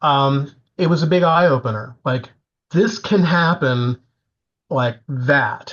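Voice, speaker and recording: A man's fairly high voice at a very slow pace, with ordinary pitch variation, long and frequent pauses, and very even loudness. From Florida. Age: 70s. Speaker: composer. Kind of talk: interview.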